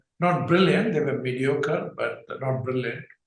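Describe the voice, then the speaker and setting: With ordinary pitch variation, a man talks amid audible room echo. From southern India, Tamil Nadu, then Mumbai from 13. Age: 70s. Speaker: banking executive. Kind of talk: interview. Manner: halting with frequent fillers.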